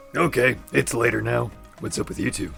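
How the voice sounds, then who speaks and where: A man puts on a raspy character voice, pitched very deep and low. He talks at a moderate pace with clear music in the background. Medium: audio drama. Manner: blunt, grumbling.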